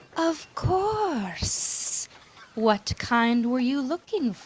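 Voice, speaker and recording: A put-on character voice, female-sounding and high-pitched, at a very slow pace with very wide pitch swings. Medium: actual play. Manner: polite, courteous.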